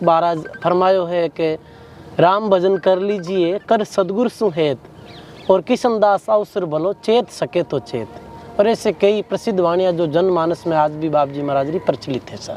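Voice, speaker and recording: This man's voice sits high, with ordinary pitch variation. Noticeable background noise runs underneath. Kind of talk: interview answer.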